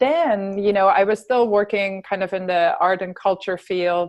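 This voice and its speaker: In a German accent, the speaker moves at a fairly slow pace with fairly even intonation over a quiet background. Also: woman. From Germany, grew up on a farm. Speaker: health coach, fitness trainer and yoga instructor. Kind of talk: interview.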